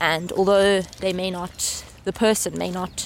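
Noticeable background noise accompanies a woman whose voice is fairly low in pitch. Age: 20s. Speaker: master's student. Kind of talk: casual interview. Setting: outdoors walking in a park. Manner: halting.

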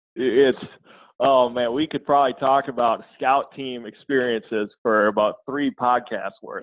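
A plain, everyday voice from a man with an American accent, fairly slow in pace and fairly even in intonation. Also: medium pitch for a man. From Minnesota, US (southwestern, Redwood Falls). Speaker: football coach. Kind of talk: casual interview chat.

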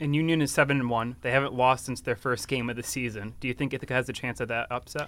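The speaker talks at a very fast pace. There are hardly any pauses. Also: man, medium pitch for a man. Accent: American. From Wisconsin. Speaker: college podcast co-host. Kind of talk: casual sports chat. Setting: studio. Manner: animated.

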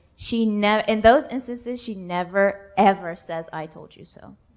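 This woman has an unremarkable speaking voice, medium in pitch with ordinary pitch variation. Her loudness swings widely as she talks at a moderate pace. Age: 20s. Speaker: performing arts student. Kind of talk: casual chat.

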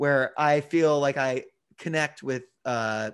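There is a quiet background as a man speaks with a fairly high pitch and ordinary pitch variation. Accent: American. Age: 20s. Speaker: guitarist and attorney. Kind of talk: casual interview chat.

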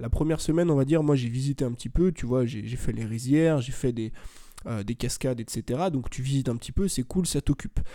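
Very cleanly recorded against a silent background, the voice has a dark, mellow tone and moves at a fairly quick pace. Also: man, medium pitch for a man, ordinary pitch variation. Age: 20s. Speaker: youtuber and podcaster. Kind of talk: interview.

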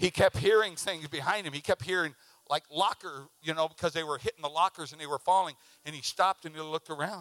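A man speaks at a very fast pace with an animated, bright, sharp tone and big swings in loudness. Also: fairly high pitch for a man, ordinary pitch variation. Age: 60s. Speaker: preacher. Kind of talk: sermon. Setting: church with congregation.

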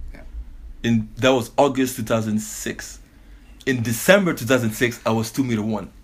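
A man with a medium pitch speaks at a moderate pace, somewhat breathy and with fairly even intonation. His loudness swings widely, and he leaves long, frequent pauses. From Belgium. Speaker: professional basketball player. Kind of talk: casual interview.

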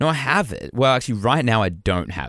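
Recorded very cleanly with a silent background and a dry, close sound with no echo, a man speaks with vocal fry and very wide pitch swings. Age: 30s. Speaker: podcast co-host. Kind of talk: casual chat.

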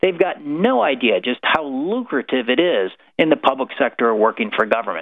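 With a Midwestern American accent, a man talks at a moderate pace in a fairly high pitch, using lively intonation and very even loudness. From rural Illinois. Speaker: government transparency advocate. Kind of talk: radio interview. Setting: live radio broadcast.

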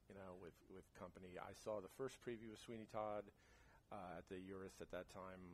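With an American accent, a man speaks at a fairly quick pace with a very deep, low pitch and monotone, flat intonation. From New Jersey (Jersey City). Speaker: stage actor and singer. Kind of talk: casual interview chat. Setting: home recording during heat wave, birds audible.

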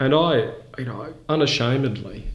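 A somewhat breathy man's voice at a fairly slow pace, fairly even in intonation, with audible room echo. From Brisbane, Australia. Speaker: charity chief executive. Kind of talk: interview.

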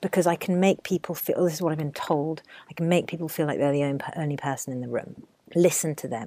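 Heard in a dry, close sound with no echo, a woman with a very deep, low pitch speaks at a fairly quick pace with a southern English accent. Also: very clean recording, silent background. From southern England. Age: 30s. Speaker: TV correspondent and documentary producer. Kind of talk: interview.

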